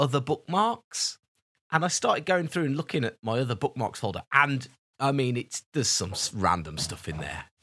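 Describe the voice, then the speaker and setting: In a very clean recording with a silent background, a man speaks with a bright, sharp tone, a fairly high pitch and lively intonation. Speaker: podcast co-host. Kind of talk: casual chat.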